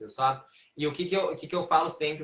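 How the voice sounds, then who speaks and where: This man talks with ordinary pitch variation. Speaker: physical education trainer. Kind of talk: live stream Q&A. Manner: animated.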